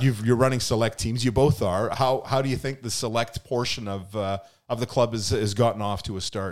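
A man with a Canadian accent speaks at a medium pitch with ordinary pitch variation. The recording is very clean, with a silent background. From Canada, Lower Mainland BC. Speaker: youth soccer club podcast host. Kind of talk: casual chat. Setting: studio. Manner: animated.

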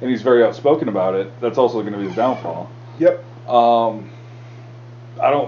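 Over noticeable background noise, a man at medium pitch talks at a fairly quick pace with ordinary pitch variation and long, frequent pauses. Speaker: podcast co-host. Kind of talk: casual banter. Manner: uses radio voice.

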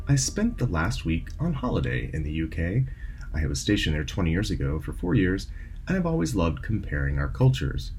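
Over noticeable background noise, a man with a very deep, low pitch talks at a fairly quick pace with very wide pitch swings. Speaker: radio host. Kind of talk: radio show host intro.

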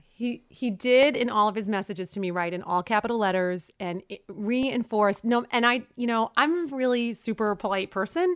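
A woman with an American accent speaks at a moderate pace with hardly any pauses, a fairly high pitch and lively intonation, on a very clean recording with a silent background. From Brooklyn, New York. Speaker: co-host, married couple's relationship podcast. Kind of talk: casual chat. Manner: animated, joking banter.

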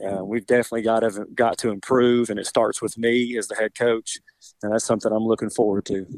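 Fairly quick, monotone speech from a man at medium pitch, in a dry, close sound with no echo. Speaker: high school football coach. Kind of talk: interview with a radio host.

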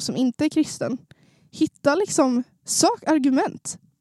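A woman's dark, mellow tone carries ordinary pitch variation in a dry, close sound with no echo. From Sundsvall, Norrland, northern Sweden. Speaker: new podcast co-host. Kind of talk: casual chat.

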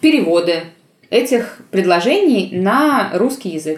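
A woman speaks with lively intonation. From Russia, St Petersburg. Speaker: linguist and olympiad organizer. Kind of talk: interview.

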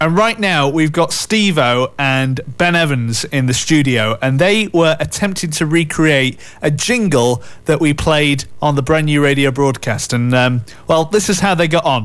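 A man with a Yorkshire accent speaks at a fairly slow pace and a fairly high pitch. His pitch variation is ordinary and his loudness very even. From Yorkshire, England. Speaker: radio presenter. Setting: radio studio. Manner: chatty, upbeat, bantering.

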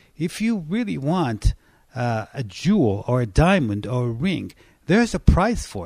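A fairly slow voice in an Israeli accent with very wide pitch swings, on a very clean recording with a silent background. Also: man, medium pitch for a man. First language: Hebrew. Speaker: pastor. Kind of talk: personal testimony in interview.

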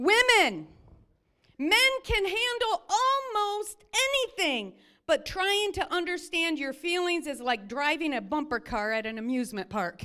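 In a raised, projected voice, a woman speaks at an extremely high pitch with very wide pitch swings and a bright, sharp, animated tone. She keeps a fairly slow pace on a very clean recording with a silent background. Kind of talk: sermon. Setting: church. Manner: loud.

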